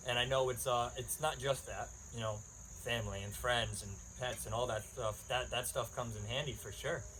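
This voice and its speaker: Male speaker at a moderate pace, with audible room echo. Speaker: podcast host. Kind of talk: casual monologue. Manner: rambling, many fillers.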